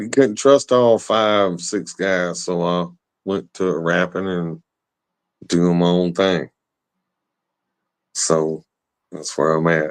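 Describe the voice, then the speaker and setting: With a Southern US accent, the speaker goes at a very slow pace with long, frequent pauses against a quiet background. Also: man, very deep, low pitch for a man, ordinary pitch variation. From West Tennessee. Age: 40s. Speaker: rapper and drummer. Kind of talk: casual chat.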